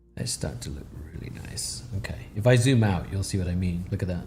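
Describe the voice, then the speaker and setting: The voice swings very widely in pitch. Music plays in the background, and room echo is audible. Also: man, long, frequent pauses. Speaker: digital artist. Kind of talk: live tutorial. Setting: live stream. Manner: fast; casual, halting.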